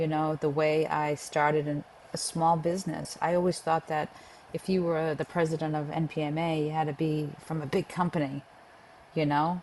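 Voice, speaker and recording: A woman with a Boston accent speaks at a moderate pace in a very deep, low pitch with monotone, flat intonation. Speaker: pest control association leader. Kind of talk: interview. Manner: casual, many fillers.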